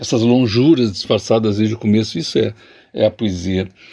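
The voice belongs to a man. It sits at a medium pitch with a dark, mellow tone. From southern Brazil, Jaguarão on the Uruguay border. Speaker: poet. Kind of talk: interview. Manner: hesitant, repeats words.

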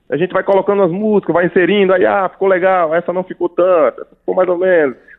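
Ordinary pitch variation marks this man's voice, which sits high for a man. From Paraíba, Brazil. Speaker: pianist. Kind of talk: casual interview. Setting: radio studio.

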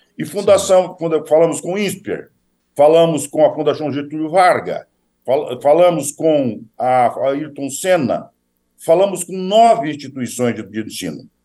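A man's dark, mellow tone at fairly high pitch, fairly slow, with lively intonation and big swings in loudness. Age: 60s. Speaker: politician. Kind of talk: interview.

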